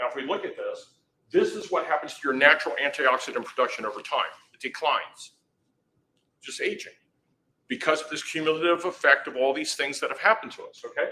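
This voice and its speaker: A man talks at a very fast pace, his loudness swinging widely. His speech is broken by long, frequent pauses. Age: 60s. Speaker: health product presenter. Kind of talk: sales pitch. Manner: animated. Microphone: microphone died, no mic.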